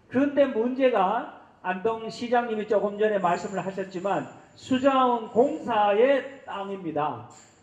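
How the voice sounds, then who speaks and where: A man with a high-pitched voice talks at a very slow pace with hardly any pauses and ordinary pitch variation, over noticeable background noise. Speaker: event organizer. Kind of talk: formal address at a forum. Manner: halting with fillers.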